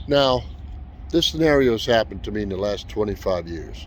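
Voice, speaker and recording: A man's fairly quick speech with noticeable background noise. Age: 60s. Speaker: tree service business owner and YouTuber. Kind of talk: casual vlog talk. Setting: outdoors.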